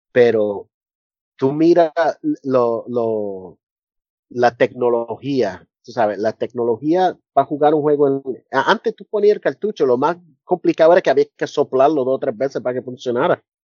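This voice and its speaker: A man at a medium pitch and moderate pace, with lively intonation and big swings in loudness. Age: 40s. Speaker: university professor. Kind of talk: casual interview. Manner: halting.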